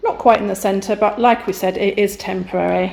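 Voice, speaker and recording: Noticeable background noise runs under the recording. A woman with an English accent speaks at a moderate pace and medium pitch. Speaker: YouTuber renovating a chateau. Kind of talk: casual vlog narration. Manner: whispering.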